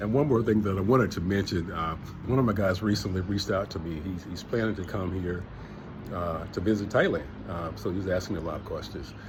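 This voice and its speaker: A man with a very deep, low, somewhat breathy voice and relaxed tone, fairly quick in pace yet with long, frequent pauses, ordinary pitch variation, and audible room echo. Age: 60s. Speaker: travel vlogger, retiree. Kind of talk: casual vlog monologue. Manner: relaxed, conversational with many fillers.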